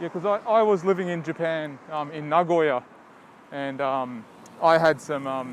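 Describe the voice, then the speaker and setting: This man speaks with an Australian accent. His pitch is fairly high. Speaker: podcast host. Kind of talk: casual interview chat.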